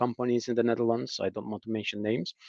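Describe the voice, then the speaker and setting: A man with an Azerbaijani accent is heard in a dry, close sound with no echo and a quiet background. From Azerbaijan, south (Lankaran region). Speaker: former diplomat, political commentator. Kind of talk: interview discussion. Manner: halting with repetitions.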